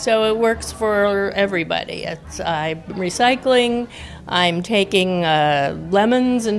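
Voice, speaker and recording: A woman with a medium pitch and ordinary pitch variation speaks at a fairly slow pace. Music plays in the background. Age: 60s. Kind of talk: interview testimony.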